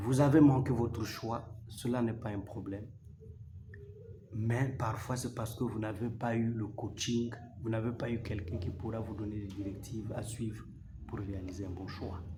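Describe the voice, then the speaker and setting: A man's medium-pitched voice at a moderate pace, fairly even in intonation, with long, frequent pauses, audible room echo and noticeable background noise. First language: not French, a local mother tongue (speaking French). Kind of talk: religious teaching talk to camera. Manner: formal.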